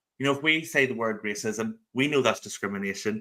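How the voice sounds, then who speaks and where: A man with a Northern Irish accent, a bright, sharp tone, medium pitch, and a fairly quick pace. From Northern Ireland (rural). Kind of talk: interview. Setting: live video stream.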